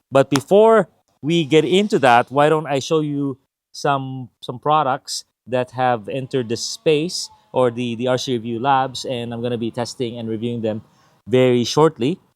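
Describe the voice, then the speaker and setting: Over background music, a man talks at a moderate pace and medium pitch with ordinary pitch variation, the sound dry and close with no echo. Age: 50s. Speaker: RC product reviewer, YouTuber. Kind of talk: casual vlog update. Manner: casual, with many fillers.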